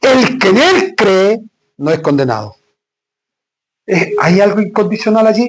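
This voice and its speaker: A high-pitched male voice at a fairly slow pace, with lively intonation, very even loudness and long, frequent pauses. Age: 60s. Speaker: pastor. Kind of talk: sermon.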